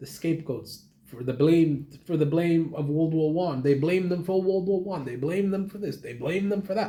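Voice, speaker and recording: A dark, mellow tone marks this somewhat breathy voice. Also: man. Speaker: YouTuber reviewing a book. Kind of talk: casual video review monologue. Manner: halting, many repetitions and fillers.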